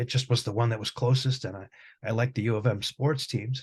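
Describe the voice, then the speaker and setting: A man with a Michigan accent at a very fast pace, somewhat breathy, medium pitch, fairly even intonation, quiet background. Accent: US Midwestern (Michigan). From Michigan, Detroit area. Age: 60s. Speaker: music professor and guitarist. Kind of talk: interview conversation.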